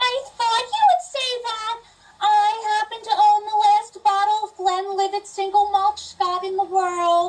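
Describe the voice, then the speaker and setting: A woman uses a squeaky, put-on character voice at an extremely high pitch. Her intonation is fairly even and her pace fairly slow. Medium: stage play. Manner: stilted, oddly formal.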